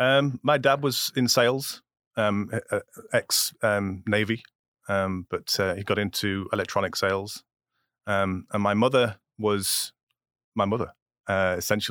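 On a very clean recording with a silent background, a man with a Yorkshire accent speaks at a fairly slow pace and fairly low pitch, with fairly even intonation and long, frequent pauses. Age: 50s. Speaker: immigrant guest, IT worker. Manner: halting, hesitant.

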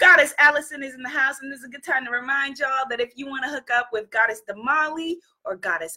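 A woman's high, bright, sharp voice, raised and projected, with lively intonation and an animated, warm tone. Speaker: live stream host, spiritual coach. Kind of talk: live stream talk to audience.

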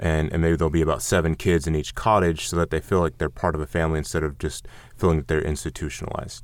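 Very deep, low male voice with vocal fry, at a very fast pace with fairly even intonation. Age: 30s. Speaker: missionary. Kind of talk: interview.

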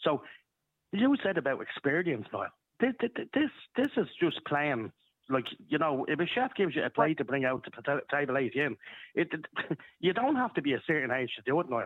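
With a Dublin accent, a man speaks at a fairly high pitch with very wide pitch swings. He leaves long, frequent pauses. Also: moderate pace. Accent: Irish (Dublin). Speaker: caller. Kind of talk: radio phone-in debate.

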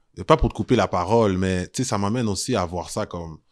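A man speaks at a fairly quick pace in a plain, everyday voice. The recording is very clean, with a silent background. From Montreal, Quebec (Saint-Michel). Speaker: historian and tour guide. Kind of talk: casual interview.

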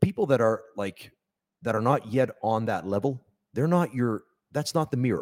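Lively intonation runs through a man's unremarkable speaking voice at medium pitch. He keeps a moderate pace, and the sound is dry and close with no echo. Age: 40s. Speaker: pro wrestler and trainer. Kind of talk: casual chat. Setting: wrestling training hall.

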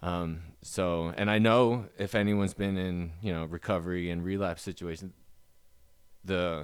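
The pace here is moderate. Pitch rises and falls in an ordinary way. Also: man, very clean recording, silent background. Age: 30s. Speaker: person in addiction recovery. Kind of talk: testimony. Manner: halting.

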